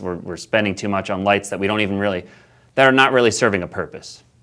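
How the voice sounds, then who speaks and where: Recorded very cleanly against a silent background, a man talks at a fairly low pitch with fairly even intonation. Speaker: presenter on light pollution. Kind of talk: community presentation. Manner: fast.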